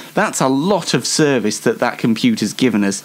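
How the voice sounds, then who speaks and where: A man with a Yorkshire accent talks at a moderate pace, his pitch swinging very widely. Background noise is noticeable. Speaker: online show host. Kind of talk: casual solo show monologue. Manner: halting, many fillers.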